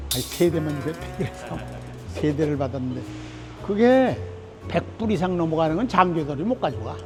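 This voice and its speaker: The speech moves at a moderate pace with long, frequent pauses and very wide pitch swings. Music plays in the background. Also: man, fairly high pitch for a man. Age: 80s+. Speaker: Korean War veteran, former government minister. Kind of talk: interview answer, storytelling. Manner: casual, conversational.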